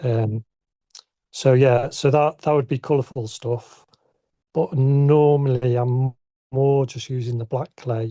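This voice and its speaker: In a northern English accent, a man speaks very slowly with long, frequent pauses, at a medium pitch in a dark, mellow tone with fairly even intonation, his sound dry and close with no echo against a quiet background. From northern England, Southport, Lancashire. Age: 60s. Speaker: ceramic artist. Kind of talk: casual interview. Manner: halting.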